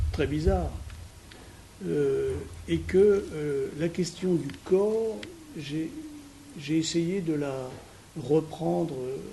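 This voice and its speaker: The speech comes very slowly, with long, frequent pauses and audible room echo. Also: man. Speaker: psychoanalyst and physician giving a lecture. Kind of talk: lecture. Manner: halting, many hesitations; trying to speak loudly. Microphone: no microphone.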